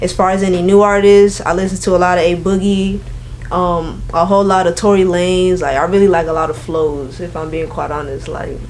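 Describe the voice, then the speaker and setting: Relaxed in tone, a woman with an American accent speaks fairly quickly at a medium pitch with fairly even intonation. The room echo is audible and the background noise noticeable. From Florida, Orlando/Kissimmee area. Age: 20s. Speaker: singer and rapper. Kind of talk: interview. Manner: casual, relaxed slang-heavy.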